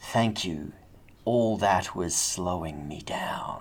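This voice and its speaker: A man puts on a character voice that is raspy and very deep, speaking at a very slow pace. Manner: wry, dry.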